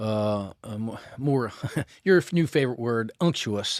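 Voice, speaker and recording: A man speaks with a Southern accent and lively intonation. The sound is dry and close, with no echo. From US South, Memphis. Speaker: podcast co-host. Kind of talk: casual chat, whiskey tasting. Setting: outdoors on a porch. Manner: slow.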